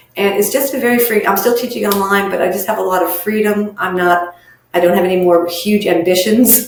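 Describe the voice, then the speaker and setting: Pitch moves in a normal way as the words come somewhat fast. Background noise can be clearly heard. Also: woman, medium pitch for a woman. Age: 60s. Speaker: social worker. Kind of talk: interview.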